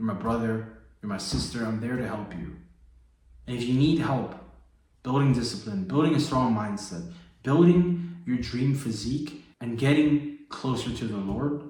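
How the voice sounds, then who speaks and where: Audible room echo around a man's medium-pitched voice, moderate in pace, with ordinary pitch variation. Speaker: fitness and faith coach. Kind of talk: motivational vlog. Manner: low energy; casual, slangy.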